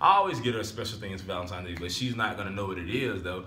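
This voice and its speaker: Audible room echo surrounds a man speaking in a fairly low voice. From Alabama. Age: 20s. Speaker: vlogger. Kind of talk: casual vlog talk to camera. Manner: animated. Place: home room. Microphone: phone near.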